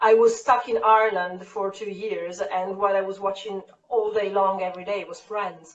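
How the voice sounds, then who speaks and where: A woman with an Italian accent speaks at medium pitch and a moderate pace. Her intonation is monotone and flat, while her loudness swings widely. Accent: Italian accent with American-learned English. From Italy. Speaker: keto YouTuber. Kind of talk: casual interview chat.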